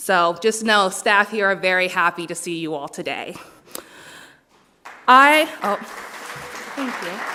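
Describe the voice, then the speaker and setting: A woman at medium pitch and a fairly slow pace, with lively intonation, big swings in loudness, long, frequent pauses and crowd noise in the background. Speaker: dog trainer. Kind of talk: ceremony speech.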